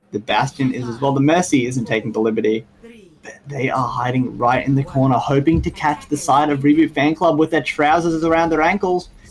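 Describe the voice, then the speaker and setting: A fairly high-pitched man at a fairly quick pace, over noticeable background noise. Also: ordinary pitch variation. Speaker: esports caster. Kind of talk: live commentary. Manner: lowered voice, stealthy.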